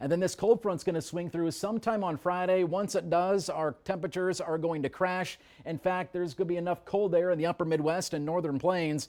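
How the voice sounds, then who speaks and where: A man with an American accent and a high voice speaks at a fairly quick pace, with hardly any pauses and fairly even intonation. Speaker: television meteorologist. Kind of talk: TV weather forecast.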